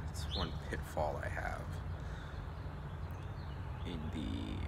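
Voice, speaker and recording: A man is speaking. Loud background noise is present. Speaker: pipe tobacco reviewer. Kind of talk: casual review talk. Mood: relaxed, reflective. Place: street. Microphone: phone near.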